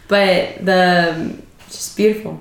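A woman speaks with fairly even intonation against noticeable background noise. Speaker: podcast host. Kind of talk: casual chat.

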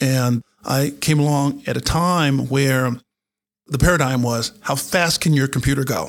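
A man with an American accent has an ordinary speaking voice, pitched fairly high. He talks at a fairly slow pace with fairly even intonation. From North Carolina. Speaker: retired general and cybersecurity executive. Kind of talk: interview. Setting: studio.

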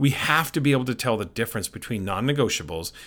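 In a very clean recording with a silent background, a man with a medium pitch and vocal fry speaks fairly quickly, with ordinary pitch variation. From Canada. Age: 50s. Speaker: education consultant and podcast host. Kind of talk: podcast monologue.

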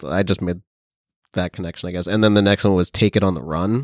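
In a very clean recording with a silent background, a man with a very deep, low pitch talks at a fairly quick pace with fairly even intonation. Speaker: paranormal investigator on the trip. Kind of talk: casual conversation.

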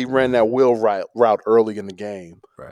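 A man with an American accent at a medium pitch, in a dry, close sound with no echo. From Chicago. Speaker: sports podcast host. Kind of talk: casual sports chat.

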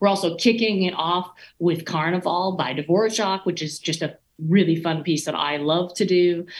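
An ordinary speaking voice with an American accent, at a moderate pace with fairly even intonation. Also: woman, fairly low pitch for a woman. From US South, East Texas. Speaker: orchestra conductor. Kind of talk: casual interview.

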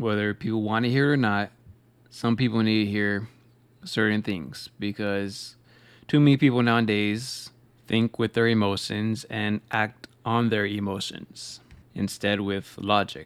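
An unremarkable speaking voice from a man, fairly low in pitch, at a fairly slow pace with fairly even intonation. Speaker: podcast host. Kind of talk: pep talk. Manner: earnest, repetitive, motivating.

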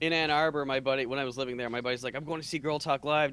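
A man talks at a very fast pace. His pitch is medium with ordinary variation. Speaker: podcast co-host. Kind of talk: casual chat. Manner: energetic.

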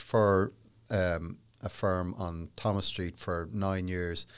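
With a Dublin accent, a man speaks very slowly at a fairly low pitch, in a very clean recording with a silent background. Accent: Dublin Irish. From Ireland, Dublin. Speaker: human rights solicitor. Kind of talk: interview. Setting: studio.

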